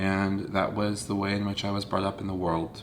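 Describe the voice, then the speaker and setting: Here a man speaks in an American accent at a moderate pace. His pitch is very deep and low, and there is audible room echo. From US South, North Central Florida. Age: 30s. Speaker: video blogger. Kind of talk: personal confessional monologue. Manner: halting, with fillers.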